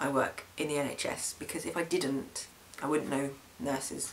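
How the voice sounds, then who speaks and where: A man with a British accent and a fairly high voice, at a moderate pace with fairly even intonation, over noticeable background noise. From UK. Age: young. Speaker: vlogger. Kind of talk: video diary. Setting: home camera recording. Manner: hesitant, many fillers.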